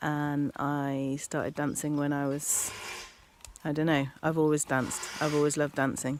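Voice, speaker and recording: A woman with an English Midlands accent talks at a moderate pace. Her pitch is very deep and low, her intonation monotone and flat. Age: 40s. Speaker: dancer. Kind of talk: interview.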